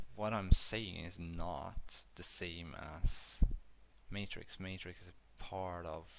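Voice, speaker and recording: Quiet and very slow, a man with a very deep, low pitch speaks with fairly even intonation and big swings in loudness, and audible room echo surrounds him. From Sweden. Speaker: YouTuber discussing metaphysical theories. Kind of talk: casual monologue video. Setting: at home in a dark room. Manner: monotone; quiet, low volume. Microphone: bad audio at times.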